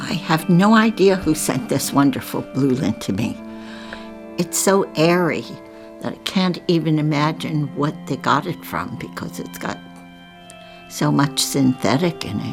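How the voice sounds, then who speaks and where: Very wide pitch swings at a fairly slow pace, with music in the background. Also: woman, very deep, low pitch for a woman. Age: 80s+. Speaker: artist. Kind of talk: casual chat.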